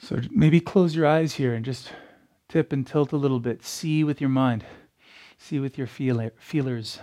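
A man's fairly high-pitched voice, dark and mellow, with a soothing tone. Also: ordinary pitch variation, very clean recording, silent background. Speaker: yoga teacher. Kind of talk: guided meditation. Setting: yoga class recording. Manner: slow, soft, soothing, with long pauses; reflective, poetic, gentle.

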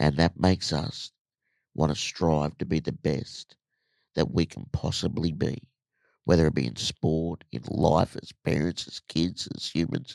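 With an Australian accent, a man speaks fairly slowly in a very deep, low pitch with vocal fry and ordinary pitch variation. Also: big swings in loudness, dry, close sound with no echo. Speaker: motivational speaker. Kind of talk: casual chat. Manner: animated.

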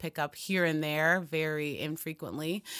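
A bright, sharp voice with monotone, flat intonation comes through on a very clean recording against a silent background. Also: woman. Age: 30s. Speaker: fitness coach and basketball player. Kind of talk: casual interview. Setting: studio.

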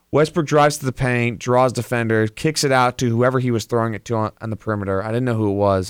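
A man talks very fast at a medium pitch with ordinary pitch variation. The recording is very clean, with a silent background. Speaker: sports radio co-host. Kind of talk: casual sports talk show chat. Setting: studio.

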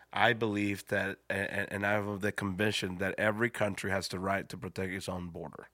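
A man with a Spanish accent, fairly low-pitched, bright and sharp, fairly quick with hardly any pauses, in a monotone, flat delivery on a very clean recording with a silent background. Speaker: pastor. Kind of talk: casual chat.

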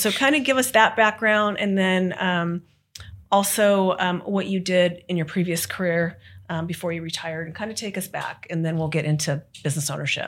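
An unremarkable speaking voice from a woman, medium in pitch, fairly quick, with ordinary pitch variation, on a very clean recording over a silent background. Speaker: podcast host, franchise consultant. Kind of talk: podcast interview.

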